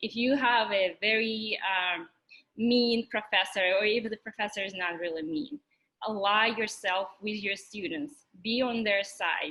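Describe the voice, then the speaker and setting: This woman talks at a fairly slow pace with a Russian accent and a fairly high pitch. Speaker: physics teaching assistant. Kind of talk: orientation talk. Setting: virtual orientation.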